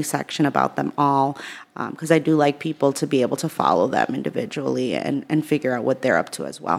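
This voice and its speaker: Her voice sits very deep and low, with vocal fry throughout. This woman speaks at a very fast pace with fairly even intonation. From Worcester, Massachusetts (born in El Salvador). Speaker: small business owner. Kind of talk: interview.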